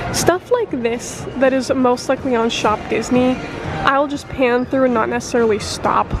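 Over music in the background, a woman with a high pitch speaks at a fairly slow pace, and the sound is dry with no echo. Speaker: travel vlogger. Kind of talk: casual vlog chat. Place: shop. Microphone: phone near.

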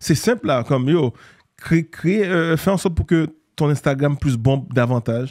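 Against a quiet background, a man with a fairly high pitch speaks at a moderate pace with lively intonation and very even loudness. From Haiti (Port-au-Prince), raised later in Montreal; Haiti. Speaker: entrepreneur and former basketball player; interview guest. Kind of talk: casual interview. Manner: hesitant, many fillers. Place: studio. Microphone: studio mic.

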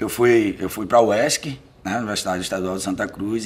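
A man's medium-pitched voice at a moderate pace. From Bahia sertão, Brazil (Uauá). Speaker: poet and lawyer. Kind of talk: interview. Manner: hesitant, with many fillers. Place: home room.

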